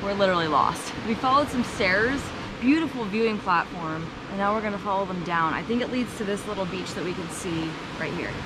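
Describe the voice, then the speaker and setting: The speaker talks at a fairly quick clip with lively intonation. Room echo is audible and background noise is noticeable. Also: woman, medium pitch for a woman. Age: 20s. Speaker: travel vlogger. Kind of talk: travel vlog narration. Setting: outdoors.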